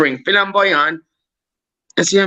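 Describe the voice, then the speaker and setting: A man speaks in a Cork accent with a bright, sharp tone and an animated delivery. His pace is moderate and his pitch varies in an ordinary way. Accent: Irish (Cork). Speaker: YouTuber on a live panel. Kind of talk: heated live-stream debate.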